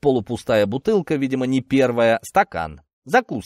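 Lively intonation colors an unforced reading voice. The background is quiet.

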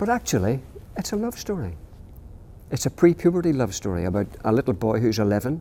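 A man with a Northern Irish accent speaks fairly quickly at a medium pitch in a dark, mellow tone, his pitch swinging very widely between long, frequent pauses. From Northern Ireland. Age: 60s. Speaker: children's author. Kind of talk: interview. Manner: halting.

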